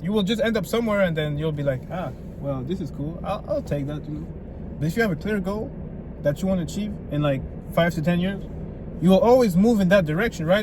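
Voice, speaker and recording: This man talks very fast at a high pitch with ordinary pitch variation, and audible room echo surrounds him. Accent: French. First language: French. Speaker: self-improvement vlogger. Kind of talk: motivational vlog. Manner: animated.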